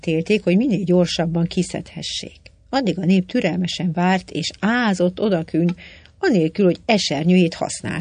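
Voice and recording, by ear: A natural voice reading aloud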